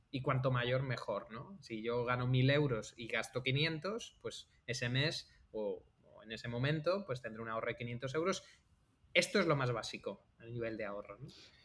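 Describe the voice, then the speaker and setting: The voice moves at a moderate pace with ordinary pitch variation. It is a normal speaking voice. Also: man, medium pitch for a man. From Andalusia, Algeciras (Cádiz). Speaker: podcast host, software engineer. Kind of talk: casual chat.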